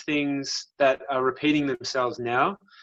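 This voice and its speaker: A man with a strong Australian accent and a fairly high pitch, speaking at a fairly slow pace. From Australia, South Australia and Melbourne. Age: 30s. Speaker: physiotherapist. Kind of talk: casual interview chat.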